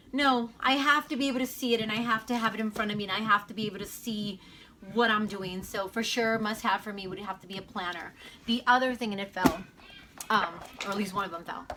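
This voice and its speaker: Over noticeable background noise, a woman with a fairly high pitch talks very fast with ordinary pitch variation and big swings in loudness. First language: Spanish. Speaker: homeschooling mom vlogger. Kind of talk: casual vlog Q&A. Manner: hesitant, filler-heavy.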